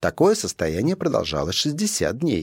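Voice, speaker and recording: Recorded very cleanly against a silent background with a dry, close sound and no echo, a man speaks at a moderate pace with vocal fry. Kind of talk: audiobook reading of a scholarly text. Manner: formal, measured, even-paced.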